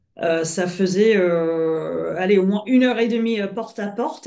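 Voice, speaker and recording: A dark, mellow tone at a moderate pace, with ordinary pitch variation and audible room echo. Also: woman. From France and Britain. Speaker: coach. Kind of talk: webinar presentation. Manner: hesitant, many filler sounds.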